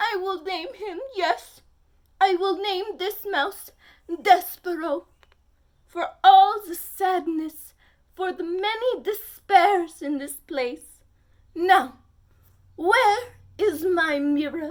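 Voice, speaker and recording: A woman's put-on character voice, extremely high-pitched, at a very slow pace with long, frequent pauses. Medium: read story. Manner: theatrical, sighing.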